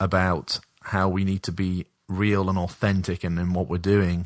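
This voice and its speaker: A man's very deep, low voice with an English accent at a fairly slow pace, on a very clean recording with a silent background. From England. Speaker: missionary, podcast guest. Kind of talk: casual chat. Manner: hesitant, many fillers.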